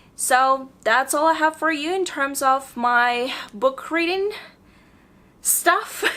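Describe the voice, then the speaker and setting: A woman speaks in a raised, projected voice, high in pitch and bright and sharp in tone, with lively intonation. Her pace is very slow, with long, frequent pauses. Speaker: book vlogger. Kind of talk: casual chat. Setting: at home.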